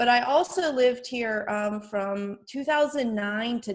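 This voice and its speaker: A woman with an American accent and an unremarkable speaking voice speaks at a fairly slow pace with ordinary pitch variation. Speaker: speaker and teacher. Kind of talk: interview.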